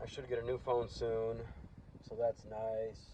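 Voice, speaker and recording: A man mumbles in a somewhat breathy voice. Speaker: car DIY vlogger. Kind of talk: casual vlog talk to camera. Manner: mumbling; hesitant with fillers. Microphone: old damaged phone mic, audio dips.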